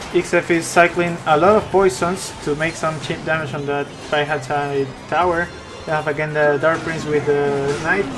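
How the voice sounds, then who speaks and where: With music in the background, the speaker talks at a moderate pace in a non-native accent. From Peru. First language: Spanish. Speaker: esports caster. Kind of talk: live commentary.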